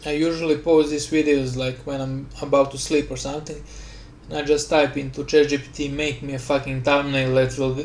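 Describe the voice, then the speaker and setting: Monotone, flat intonation at a moderate pace, in a Slavic accent. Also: man. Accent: Slavic, noticeable. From Slavic country. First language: Slavic language. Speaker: gaming YouTuber. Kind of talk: casual voice-over commentary rant. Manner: rambling, halting.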